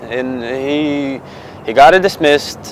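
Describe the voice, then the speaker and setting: Fairly even intonation in a Bosnian accent, with noticeable background noise. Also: man. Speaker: client, former Marine. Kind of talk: testimonial.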